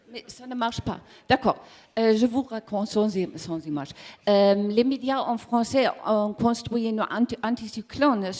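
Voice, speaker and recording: A woman with a German accent speaks fairly slowly at a fairly high pitch, with ordinary pitch variation and big swings in loudness. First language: German (speaking French). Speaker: communications manager of energy cooperative. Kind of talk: conference presentation. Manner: halting, searching for words.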